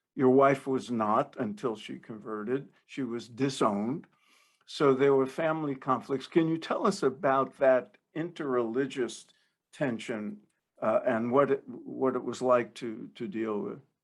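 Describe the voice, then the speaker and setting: At a fairly slow pace, an ordinary speaking voice talks with ordinary pitch variation over a quiet background. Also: man, medium pitch for a man. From New Jersey. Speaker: podcast host. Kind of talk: interview.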